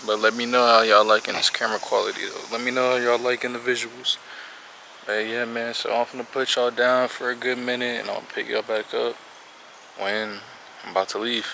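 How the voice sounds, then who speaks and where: Over noticeable background noise, a man talks at a fairly quick pace. His medium-pitched voice has a monotone, flat intonation. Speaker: vlogger. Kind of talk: casual vlog narration. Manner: casual, conversational.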